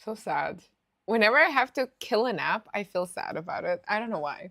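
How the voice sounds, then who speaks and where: Speaking with a non-native accent, the voice has lively intonation at a moderate pace. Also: woman, fairly high pitch for a woman. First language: not English. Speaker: gaming streamer. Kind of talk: live gameplay commentary. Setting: live stream. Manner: casual, many fillers and restarts.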